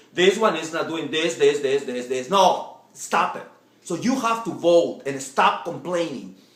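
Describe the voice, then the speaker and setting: Someone talks at a fairly slow pace while noticeable background noise carries on. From Latin America. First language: Spanish. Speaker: political vlogger. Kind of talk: political speech to camera. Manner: halting, repetitive.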